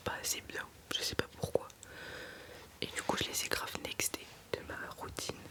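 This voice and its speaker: There is noticeable background noise as a woman whispers. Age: 20s. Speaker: ASMR creator. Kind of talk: ASMR makeup talk to camera. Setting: studio. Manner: casual, conversational, slightly complaining.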